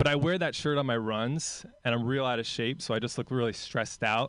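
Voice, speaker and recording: A man's ordinary speaking voice, an ordinary speaking voice at medium pitch and moderate pace, over a quiet background. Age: 20s. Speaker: stand-up comedian. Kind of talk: stand-up.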